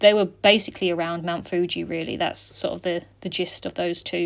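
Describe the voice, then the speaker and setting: A woman with a British accent speaks at a fairly quick pace in a relaxed tone. Her pitch is medium and her intonation fairly even. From UK. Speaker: scrapbooking vlogger. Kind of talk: casual chat. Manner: relaxed, many fillers.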